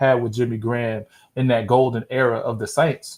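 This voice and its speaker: With an American accent, a man talks at a moderate pace in a medium pitch, his dark, mellow tone carried by monotone, flat intonation. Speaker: football podcast host. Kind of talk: casual chat. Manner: halting.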